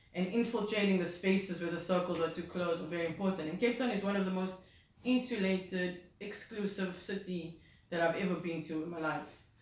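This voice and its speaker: Through noticeable background noise and audible room echo, a woman talks at a fairly quick pace and medium pitch. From South Africa. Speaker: music journalist and DJ. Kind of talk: interview. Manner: hesitant with fillers.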